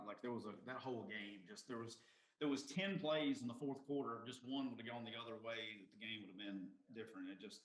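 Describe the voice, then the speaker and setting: Amid noticeable background noise and audible room echo, a man with a Southern US accent talks at a very fast pace. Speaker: podcast host. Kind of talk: casual chat.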